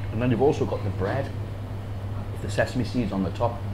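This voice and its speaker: A man's fairly low voice at a fairly quick pace, with noticeable background noise. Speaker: food vlogger. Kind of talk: casual food review vlog. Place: shop. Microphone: lapel.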